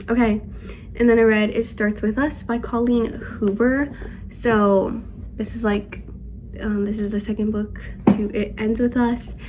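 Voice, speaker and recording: Pausing long and often, a woman speaks at a fairly slow pace and fairly high pitch in a flat monotone. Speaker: book vlogger. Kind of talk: casual chat. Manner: casual, filler-heavy.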